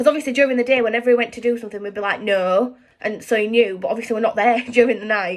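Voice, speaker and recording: Someone speaks very fast in a Yorkshire accent. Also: woman. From Yorkshire, England. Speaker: lifestyle vlogger. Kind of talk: casual chat. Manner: fast, with many fillers and restarts.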